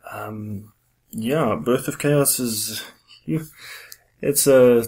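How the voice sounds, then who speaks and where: A man speaks with a South African accent. The recording is very clean, with a silent background. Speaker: podcast host, fantasy author. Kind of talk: casual interview chat.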